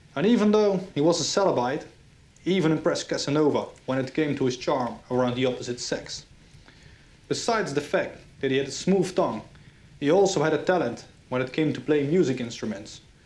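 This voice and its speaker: A man with a Dutch accent talks at a fairly quick pace with lively intonation, leaving long, frequent pauses, and there is audible echo in the room. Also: fairly high pitch for a man. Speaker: history channel host. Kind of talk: scripted narration.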